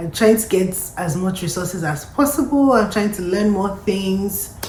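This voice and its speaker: With audible room echo and noticeable background noise, a woman speaks at a fairly slow pace and medium pitch with lively intonation. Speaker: lifestyle and immigration vlogger. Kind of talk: casual vlog monologue. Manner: conversational, reflective.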